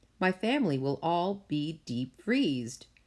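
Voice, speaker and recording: Using a put-on character voice, a woman talks at a moderate pace with a fairly low pitch. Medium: read story.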